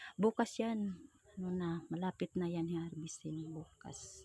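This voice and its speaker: At a fairly slow pace, a woman talks in a somewhat breathy voice at medium pitch. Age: 40s. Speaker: vlogger. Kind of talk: travel vlog narration. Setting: outdoors, travelling by motorbike and on foot.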